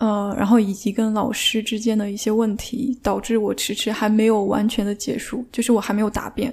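A woman talks with a fairly high pitch and a dark, mellow tone. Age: 30s. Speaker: PhD student. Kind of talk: casual chat.

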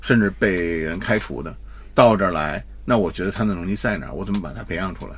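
A man with a very deep, low voice talks at a very fast pace with vocal fry, lively intonation and big swings in loudness, and the room echo is audible. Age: middle-aged. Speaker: retired advertising executive. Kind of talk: casual chat.

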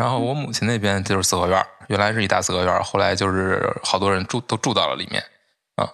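Very fast and bright with a sharp tone, a man's fairly low voice moves with ordinary pitch variation. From Beijing. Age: 30s. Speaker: book editor. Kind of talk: casual chat.

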